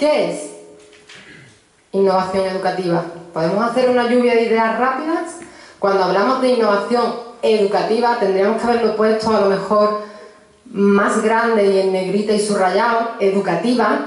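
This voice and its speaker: With noticeable background noise and audible room echo, a woman in a strong Andalusian accent talks at a moderate pace and fairly high pitch with ordinary pitch variation. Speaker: university professor of pedagogy. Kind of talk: conference talk.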